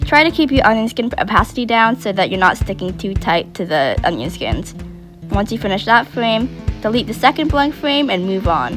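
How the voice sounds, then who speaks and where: A woman's voice leaps through very wide pitch swings. Music plays behind her. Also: medium pitch for a woman, moderate pace. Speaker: digital art tutorial maker. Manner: some stuttering.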